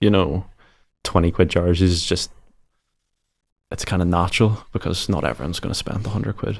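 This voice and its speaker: A man with an Irish accent, very deep, low pitch, vocal fry, ordinary pitch variation, a fairly quick pace and long, frequent pauses. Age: 20s. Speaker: e-commerce founder. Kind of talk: podcast interview. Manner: casual.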